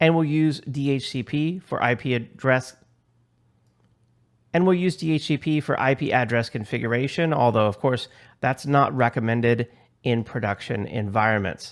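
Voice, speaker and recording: A man speaks at a medium pitch for a man with ordinary pitch variation and a moderate pace, in a normal speaking voice. The recording is very clean, with a silent background. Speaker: IT course instructor. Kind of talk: tutorial.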